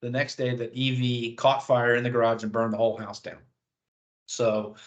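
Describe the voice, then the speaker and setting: Over a quiet background, a man speaks at a fairly quick pace in a medium pitch, his intonation monotone and flat. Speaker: auto industry dealership advisor. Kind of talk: webinar presentation. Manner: fast.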